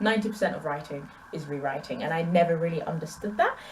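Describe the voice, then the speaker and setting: A woman with an English accent, amid audible room echo and noticeable background noise. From England. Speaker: booktuber. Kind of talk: casual vlog Q&A. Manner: conversational, animated.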